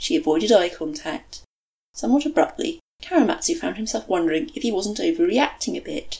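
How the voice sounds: The quiet background leaves room for a natural reading voice.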